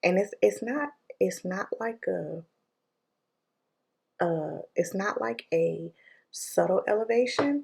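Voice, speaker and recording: A woman speaks quietly at a very slow pace. Her speech has long, frequent pauses. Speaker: vlogger. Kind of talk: vlog voiceover. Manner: casual, many fillers.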